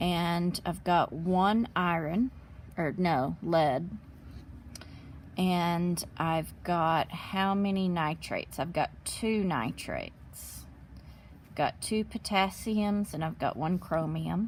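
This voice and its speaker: The pace is very slow, with ordinary pitch variation. The voice sounds somewhat breathy. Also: woman, fairly low pitch for a woman. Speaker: chemistry teacher. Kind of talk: tutorial.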